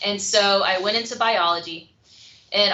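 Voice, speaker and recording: Moderate-paced female speech against noticeable background noise. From rural Louisiana. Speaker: biology professor. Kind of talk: panel Q&A self-introduction. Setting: video call.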